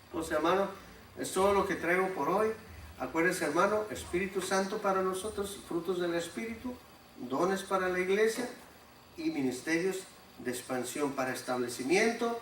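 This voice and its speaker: Over noticeable background noise and audible room echo, a man with a high pitch speaks at a moderate pace using lively intonation. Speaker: preacher. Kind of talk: sermon.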